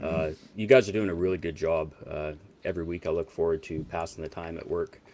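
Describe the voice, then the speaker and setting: His pitch very deep and low, a man rushes along at a very fast pace with fairly even intonation. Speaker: former fantasy football league member, guest. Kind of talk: casual chat.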